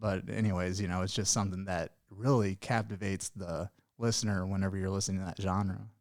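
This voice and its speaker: A man with a slight Southern Illinois accent and a fairly low pitch talks at a very fast pace in a flat monotone. The recording is very clean, with a silent background. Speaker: podcast host. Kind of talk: podcast interview. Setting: studio.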